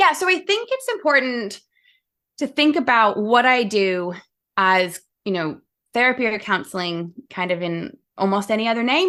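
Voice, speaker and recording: A woman speaks at a fairly high pitch with lively intonation. Her tone is bright and sharp against a quiet background. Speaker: sport psychologist. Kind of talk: podcast interview.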